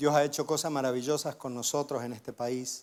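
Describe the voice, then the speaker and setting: A man's fairly high voice with fairly even intonation at a moderate pace, on a very clean recording with a silent background. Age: 50s. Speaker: guest preacher. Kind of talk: sermon with personal testimony.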